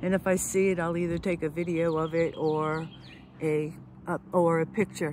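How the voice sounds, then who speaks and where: Recorded with a dry sound with no echo and light background noise, a woman speaks at a fairly slow pace. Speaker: RV travel vlogger. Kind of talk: casual vlog chat. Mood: relaxed, amused. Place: waterside. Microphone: phone near.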